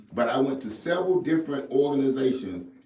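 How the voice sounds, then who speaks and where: A man speaks in an animated tone, with audible room echo. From Jackson, Mississippi, US South. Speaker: mentorship coach. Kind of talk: radio interview.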